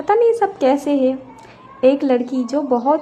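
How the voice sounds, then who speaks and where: A woman speaks with a Bengali accent. Her pitch is high. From West Bengal, India. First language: Bengali (speaking Hindi). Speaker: vlogger. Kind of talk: casual vlog narration. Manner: hesitant with fillers.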